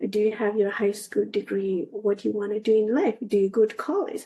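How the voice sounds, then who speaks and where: At a moderate pace, a woman with a Nepali accent speaks in a dark, mellow tone at a fairly high pitch. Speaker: analog astronaut. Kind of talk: interview.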